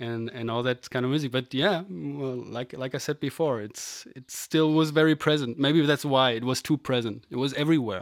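On a very clean recording with a silent background, a man speaks with hardly any pauses. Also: medium pitch for a man, ordinary pitch variation, moderate pace. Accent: German. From Germany. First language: German. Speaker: podcast host, musician. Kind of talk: casual chat.

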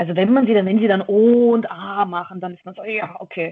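In a normal speaking voice, a woman talks at a fairly quick pace and a medium pitch with ordinary pitch variation. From Austria, Vienna. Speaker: professional wrestler. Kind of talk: casual interview. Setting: remote call from a dojo office.

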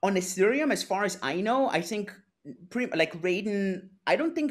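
With a German accent, a man talks at a moderate pace. His pitch is high and swings very widely. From Austria, Innsbruck. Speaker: blockchain entrepreneur. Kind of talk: interview. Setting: video call. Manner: halting, many repetitions.

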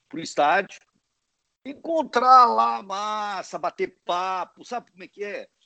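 A man projects his raised voice with a bright, sharp tone. His pitch swings very widely, and the sound is dry and close with no echo. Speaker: football club executive and law professor. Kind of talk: interview. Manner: halting, many hesitations.

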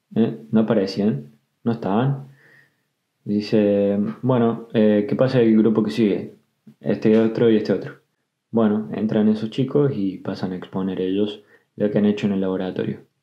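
A man speaks in an ordinary speaking voice at a moderate pace. His pitch is fairly low, with ordinary pitch variation. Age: 20s. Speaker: podcaster. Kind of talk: personal storytelling. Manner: casual.

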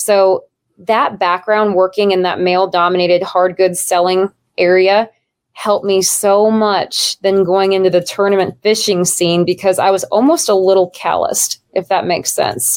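With an American accent, a woman speaks in an unremarkable speaking voice at a medium pitch and moderate pace. Her loudness stays very even and her intonation fairly even. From Nebraska. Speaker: professional kayak angler.

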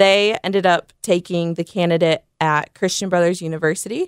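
A woman's fairly low voice with an American accent and ordinary pitch variation, dry and close with no echo, in a very clean recording with a silent background. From Indiana, South Bend. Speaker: athletic trainer for a soccer club. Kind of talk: podcast interview.

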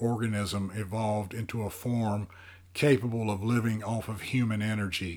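Plain reading aloud, delivered with fairly even intonation.

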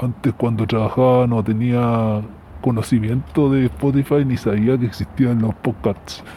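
Against noticeable background noise, a man with a Chilean accent speaks at a fairly slow pace with fairly even intonation. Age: 40s. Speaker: unemployed operations manager, listener. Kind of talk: recorded voice message.

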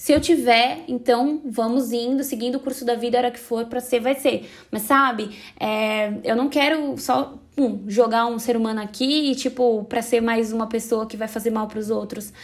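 With hardly any pauses, a woman of fairly high pitch speaks at a moderate pace with fairly even intonation. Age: 20s. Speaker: podcaster. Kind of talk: personal monologue podcast. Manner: casual, chatty.

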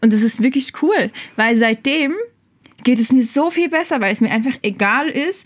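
A high-pitched woman's voice at a moderate pace, with lively intonation. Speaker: podcast host for a church channel. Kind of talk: casual interview chat.

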